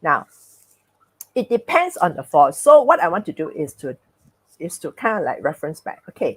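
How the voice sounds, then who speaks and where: Recorded dry and close with no echo, a woman with a fairly high pitch and vocal fry speaks at a moderate pace, her pitch swinging very widely and her loudness varying a lot, with long, frequent pauses. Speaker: speaker on personality and emotions. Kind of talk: talk with host in live webinar.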